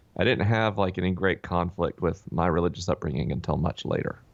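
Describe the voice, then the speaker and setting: Vocal fry runs through this man's speech. He has a North Florida accent, against a quiet background. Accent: Southern US (North Florida). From North Florida (Tallahassee). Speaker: author and podcast host. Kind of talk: interview conversation. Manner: frequent fillers (uh, um).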